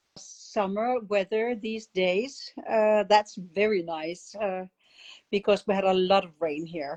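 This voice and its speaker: Very slow in pace, a woman with a Danish accent speaks at a medium pitch in a dry, close sound with no echo. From Denmark. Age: 70s. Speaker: art method instructor. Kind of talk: interview. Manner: halting.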